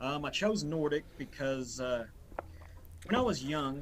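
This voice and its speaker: Speaking at a fairly slow pace, a man with an Appalachian accent uses a medium pitch. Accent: Appalachian Southern US. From US South, northeast Tennessee, Appalachia. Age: 30s. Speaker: YouTuber and history enthusiast. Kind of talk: interview. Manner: halting, many fillers.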